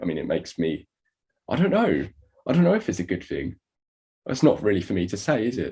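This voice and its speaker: A man speaks at a very fast pace in a dark, mellow tone. His voice is somewhat breathy, with ordinary pitch variation. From Hertfordshire, England (Stevenage). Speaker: TikTok content creator. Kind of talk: podcast interview.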